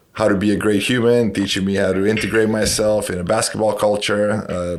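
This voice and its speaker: With noticeable background noise and audible room echo, a man talks at a fairly quick pace in a fairly low pitch with monotone, flat intonation. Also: hardly any pauses. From Romania. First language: Romanian. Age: 40s. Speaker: basketball coach and educator. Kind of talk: podcast interview.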